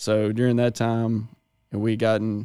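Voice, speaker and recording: A man's medium-pitched voice with a Mississippi accent and a dark, mellow tone, on a very clean recording with a silent background. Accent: Southern US (Mississippi). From northern Mississippi. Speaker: agronomist. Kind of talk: casual chat.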